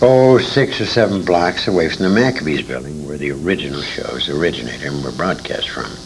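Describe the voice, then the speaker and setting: Speaking at a fairly quick pace with an American accent, the voice makes very wide pitch swings amid noticeable background noise and audible room echo. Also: man, very deep, low pitch for a man. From England, raised partly in Detroit. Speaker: retired radio actor. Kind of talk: interview reminiscence. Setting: convention.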